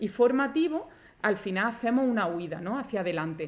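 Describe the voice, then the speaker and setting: Pitched fairly high, her voice rises and falls in a lively way as this woman talks. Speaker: forensic doctor. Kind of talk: conference talk. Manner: fast.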